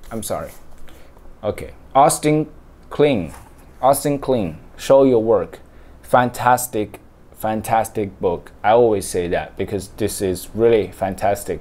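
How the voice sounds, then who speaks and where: Someone with a Chinese accent talks at a fairly slow pace with ordinary pitch variation and long, frequent pauses. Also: man. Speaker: book reading vlogger. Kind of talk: casual talk to camera. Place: home room. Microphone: phone near.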